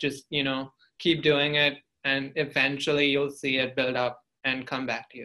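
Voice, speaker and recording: With a bright, sharp tone, a man speaks at a moderate pace and a fairly high pitch, his intonation monotone and flat. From India. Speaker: college student. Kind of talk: interview.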